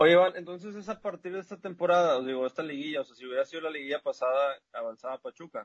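The speaker is a man with a fairly high pitch and big swings in loudness. He talks at a very fast pace. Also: ordinary pitch variation. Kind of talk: casual chat.

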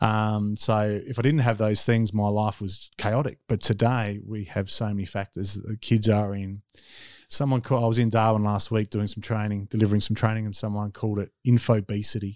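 A man with an Australian accent and a fairly low pitch speaks at a moderate pace in a monotone, flat way on a very clean recording with a silent background. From South Australia. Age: 40s. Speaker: former basketball player and youth worker. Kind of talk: interview. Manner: hesitant, many fillers.

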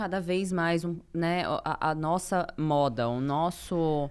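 The recording is very clean against a silent background. A woman talks with a fairly low pitch and ordinary pitch variation. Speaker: podcast host. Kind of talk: casual chat.

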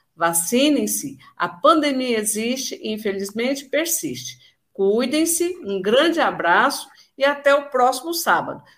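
Very wide pitch swings in a woman's high voice. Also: fairly slow pace. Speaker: radio host. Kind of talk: radio show hosting.

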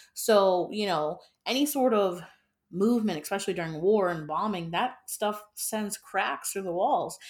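In a normal speaking voice, a woman speaks at a medium pitch and moderate pace with ordinary pitch variation, the recording very clean with a silent background. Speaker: podcast host. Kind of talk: casual chat.

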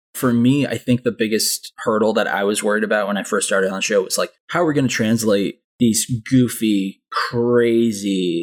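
A man with an American accent speaks at a medium pitch and a moderate pace in an unremarkable speaking voice with ordinary pitch variation, with a dry, close sound and no echo. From Southern California, Anaheim. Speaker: animation production coordinator. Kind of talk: casual chat.

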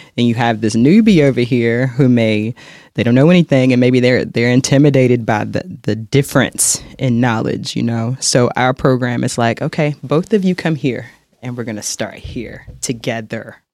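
A man with a normal speaking voice, medium pitch and ordinary pitch variation at a moderate pace, in a very clean recording with a silent background. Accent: American. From North Carolina, Charlotte. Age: 30s. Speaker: fitness instructor. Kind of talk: podcast interview.

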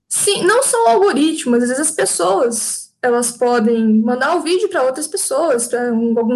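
A woman speaks at a moderate pace in a high pitch with lively intonation. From Minas Gerais, Brazil. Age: 20s. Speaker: psychology student and YouTuber. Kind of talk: interview.

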